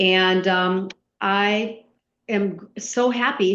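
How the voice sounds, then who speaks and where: Her intonation is monotone and flat, in an American accent. The woman speaks over a quiet background. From US Midwest. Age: 60s. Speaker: retired HR executive and coach. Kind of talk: podcast interview.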